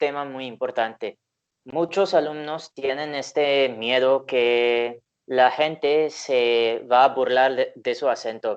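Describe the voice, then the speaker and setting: The speaker has a slight Indian accent. The pace is very slow. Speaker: language learning YouTuber, interviewer. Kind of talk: interview.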